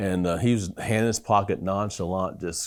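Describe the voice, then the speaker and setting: In a very clean recording with a silent background, the speech proceeds at a moderate speed. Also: man. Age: 60s. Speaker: neurologist. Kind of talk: interview testimony.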